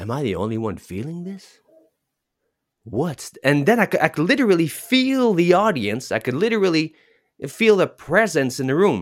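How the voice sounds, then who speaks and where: Very wide pitch swings from a man with a fairly high pitch, at a moderate pace. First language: French. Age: 40s. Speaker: public speaking coach. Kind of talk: interview chat.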